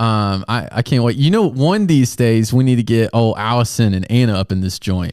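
With an American accent and an animated tone, the speaker keeps a moderate pace with hardly any pauses and ordinary pitch variation. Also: man, medium pitch for a man. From US South, Augusta, Georgia. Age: 20s. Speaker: youth pastor. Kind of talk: casual chat. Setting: video recording.

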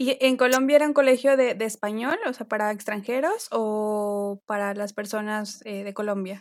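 A woman with an ordinary speaking voice and a fairly high pitch, with ordinary pitch variation, big swings in loudness, a moderate pace and hardly any pauses. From Mexico. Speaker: podcast host. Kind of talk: interview.

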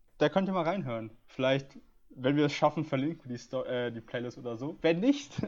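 With a normal speaking voice, a man pitched fairly high talks at a moderate pace with ordinary pitch variation. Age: 20s. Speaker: podcast host. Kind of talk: casual chat.

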